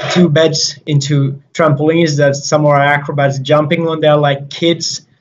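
At a moderate pace, a man with a Finnish accent speaks in a somewhat breathy, monotone, flat voice. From Finland. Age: 20s. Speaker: circus juggler. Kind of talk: interview. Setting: video call. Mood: friendly, relaxed. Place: empty room. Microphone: video call.

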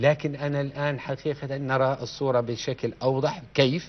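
A man is speaking. His pace is very slow. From Jordan. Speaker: lawyer. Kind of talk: political talk show discussion. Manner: animated. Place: studio.

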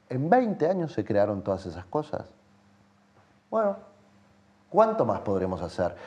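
A man with a dark, mellow tone speaks at a fairly slow pace. He leaves long, frequent pauses, and his pitch swings very widely. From Uruguay. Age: 30s. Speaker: playwright and theatre director; interview guest. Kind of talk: interview. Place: studio.

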